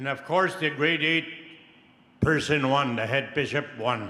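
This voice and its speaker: The speech goes at a fairly slow pace with ordinary pitch variation, over noticeable background noise. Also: man. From Peace River country, Canada. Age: 80s+. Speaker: residential school survivor. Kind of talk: audience question at public forum.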